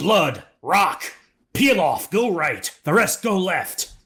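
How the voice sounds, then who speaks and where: A man shouts in a put-on character voice, pitched high. He goes at a very slow pace with lively intonation. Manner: shouting, barking orders.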